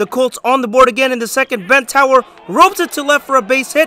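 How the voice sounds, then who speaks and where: An extremely high-pitched man's raised, projected voice with ordinary pitch variation, a dry, close sound with no echo, and noticeable background noise. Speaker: sports highlights narrator. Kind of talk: scripted play-by-play highlight narration for high school baseball. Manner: energetic, punchy sports-announcer delivery; brisk, rapid-fire recap pacing.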